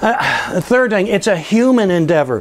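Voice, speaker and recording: Speaking at a moderate pace, the man shows ordinary pitch variation. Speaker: business educator and entrepreneur; business educator. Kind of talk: course promotion talk to camera. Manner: casual, with frequent fillers. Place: classroom. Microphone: lapel.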